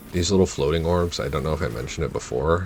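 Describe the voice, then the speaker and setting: A man speaks with a very deep, low pitch. Noticeable background noise runs beneath him. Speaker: ASMR gaming content creator. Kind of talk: soft-spoken casual gameplay commentary. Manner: soft-spoken, relaxed, calm.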